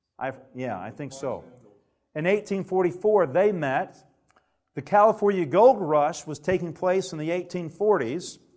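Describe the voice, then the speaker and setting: In a Southern US accent, the voice moves at a fairly slow pace, with big swings in loudness and ordinary pitch variation. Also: man, high pitch for a man. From Alabama. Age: 30s. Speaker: preacher. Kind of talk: sermon.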